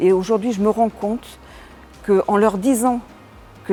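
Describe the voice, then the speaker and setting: Over music in the background, a woman talks at a fairly slow pace with a medium pitch and ordinary pitch variation. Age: 60s. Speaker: business owner and election candidate. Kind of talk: interview. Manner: hesitant, many fillers.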